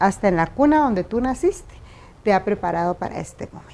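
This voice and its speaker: Intonation here is lively. The tone sounds dark and mellow. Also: woman. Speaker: physician and wife of president-elect. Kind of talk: interview. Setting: at home.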